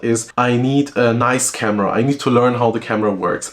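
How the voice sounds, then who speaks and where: A man with a medium-pitched voice speaks at a fairly quick pace and with fairly even intonation over noticeable background noise. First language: German. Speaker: SEO and content consultant. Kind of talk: talking-head advice video.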